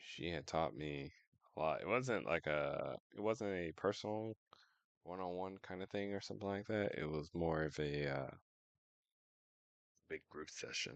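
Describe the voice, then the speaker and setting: A man speaks in a very deep, low voice, mumbling his words. Long pauses come often. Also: ordinary pitch variation, moderate pace, dry, close sound with no echo. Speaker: streamer. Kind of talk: casual chat. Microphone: audio too quiet.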